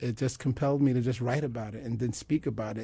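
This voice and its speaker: Recorded very cleanly against a silent background, a man talks very fast in a somewhat breathy voice with a dark, mellow tone. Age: 40s. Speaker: spoken word poet and minister. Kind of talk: interview.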